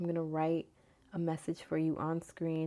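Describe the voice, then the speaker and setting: A soft-spoken woman at a moderate pace, with a dark, mellow tone and fairly low pitch. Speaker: tarot and oracle card reader. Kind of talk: casual spiritual reading. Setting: home recording at night. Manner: soft-spoken, talking low.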